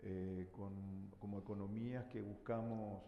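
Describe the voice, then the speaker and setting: Amid noticeable background noise and audible room echo, a man speaks with a fairly low pitch and fairly even intonation. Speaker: government minister. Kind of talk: panel discussion. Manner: hesitant, many fillers.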